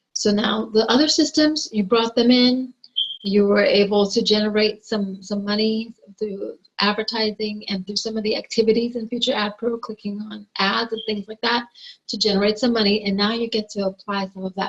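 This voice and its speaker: With fairly even intonation, a woman speaks at a moderate pace in a somewhat breathy voice. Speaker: online marketer. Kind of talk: tutorial.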